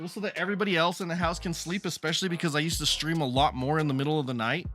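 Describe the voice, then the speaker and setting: With music in the background, a man talks at a very fast pace in an animated tone. His pitch is fairly high, with ordinary pitch variation. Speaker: streamer. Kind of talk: casual live stream chat. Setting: home basement. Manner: loud.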